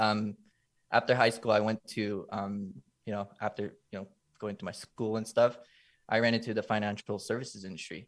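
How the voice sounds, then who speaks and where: In a Californian accent, the speaker keeps a monotone, flat intonation at a moderate pace, with big swings in loudness on a very clean recording with a silent background. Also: man, fairly low pitch for a man. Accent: California English. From Los Angeles, US. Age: 20s. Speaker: content creator. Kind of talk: casual chat.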